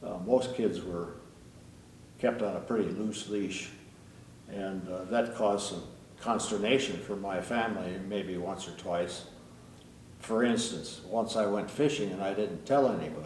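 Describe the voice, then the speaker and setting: In an Upper Midwest accent, a man speaks fairly slowly at a fairly low pitch with ordinary pitch variation and long, frequent pauses, with audible room echo. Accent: Upper Midwest American. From US Midwest, northeast Iowa. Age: 80s+. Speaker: retired air force pilot. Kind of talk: interview storytelling.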